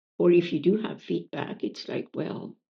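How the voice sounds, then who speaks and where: A woman with an Acadian accent at a moderate pace. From Acadian New Brunswick, Canada. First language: French. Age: 70s. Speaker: poet. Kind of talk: interview conversation. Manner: halting, many fillers and repetitions.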